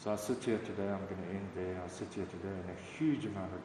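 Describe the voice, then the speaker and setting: Fairly low in pitch, a man talks at a fairly quick pace with audible room echo and noticeable background noise. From Zambia. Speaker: recovering alcoholic. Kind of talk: testimony. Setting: recovery meeting.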